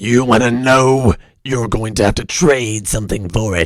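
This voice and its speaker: A man's put-on character voice sits at a medium pitch and moves at a moderate pace. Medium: audio drama. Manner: gruff, menacing.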